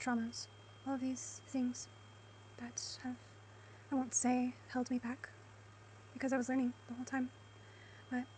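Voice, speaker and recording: A soft-spoken woman at a moderate pace, with long, frequent pauses. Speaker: spiritual content creator. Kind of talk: spiritual monologue to camera.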